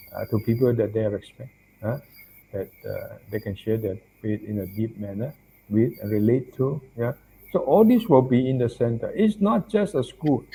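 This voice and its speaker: With lively intonation, a man speaks at a moderate pace and medium pitch, his dark, mellow tone somewhat breathy. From Malaysia. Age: 70s. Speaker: Buddhist monk and professor. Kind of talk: interview.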